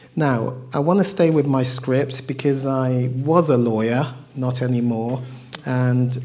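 Noticeable background noise behind a man with a medium pitch, talking fairly slowly. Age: 50s. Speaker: sex therapist and former solicitor. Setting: microphone, audience talk.

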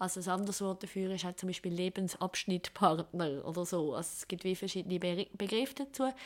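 Speaking with a Swiss accent, a woman keeps a medium pitch with ordinary variation. She talks at a fairly quick pace with hardly any pauses. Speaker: sexologist. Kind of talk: interview. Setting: her practice.

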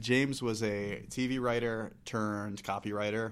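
His fairly low-pitched voice holds a monotone, flat intonation as the man speaks. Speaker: podcast host. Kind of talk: casual chat.

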